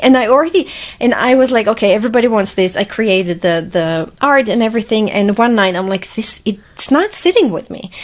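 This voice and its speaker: A woman's fairly high, lively voice at a fairly quick pace, with noticeable background noise. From Croatia (former Yugoslavia). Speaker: journalist, author and podcast host. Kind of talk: podcast interview.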